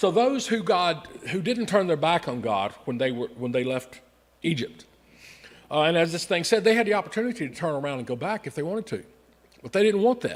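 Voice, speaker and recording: At a fairly quick pace, a man with a high pitch talks in very wide pitch swings. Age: 60s. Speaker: Sunday school teacher. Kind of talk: Bible lesson. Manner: conversational, asks audience questions.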